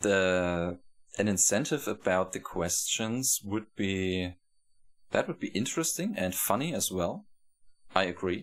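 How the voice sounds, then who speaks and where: Slow-ish delivery from a man with a German accent, fairly low in pitch, ordinary pitch variation, fairly slow pace, long, frequent pauses. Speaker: video game streamer. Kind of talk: live gameplay commentary. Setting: live stream. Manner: halting, self-correcting.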